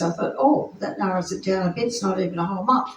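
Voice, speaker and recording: A woman talks at medium pitch with lively intonation. Noticeable background noise runs underneath. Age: 70s. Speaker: preacher. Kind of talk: sermon with personal testimony.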